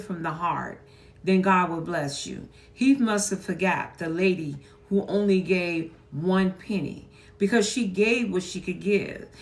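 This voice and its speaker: Over noticeable background noise, the speaker moves at a fairly slow pace. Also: woman. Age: 70s. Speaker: churchgoer. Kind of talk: casual commentary.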